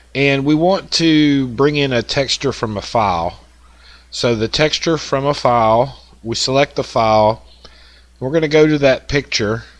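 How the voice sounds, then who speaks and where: With a strong Southern US accent, a man talks at a moderate pace in a medium pitch, with ordinary pitch variation. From US South. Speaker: woodworking software tutorial maker. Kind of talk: tutorial. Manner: casual, with many fillers.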